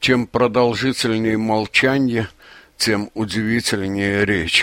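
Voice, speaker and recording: At a fairly slow pace, a man speaks in a fairly low pitch with ordinary pitch variation. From Azerbaijan (Baku). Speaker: poet. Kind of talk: interview. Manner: halting, with fillers.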